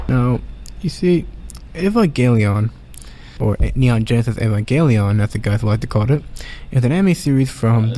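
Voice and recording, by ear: Medium-pitched man at a moderate pace, lively in intonation and very even in loudness, with long, frequent pauses and noticeable background noise.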